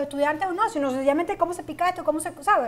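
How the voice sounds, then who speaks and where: The intonation rises and falls in a lively way. The speaker is a woman. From Venezuela. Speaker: cooking show host. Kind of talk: casual chat; tutorial. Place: studio. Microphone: lapel.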